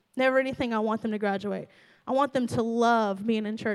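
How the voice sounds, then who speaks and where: A woman with an animated tone. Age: 30s. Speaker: pastor. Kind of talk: sermon. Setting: church.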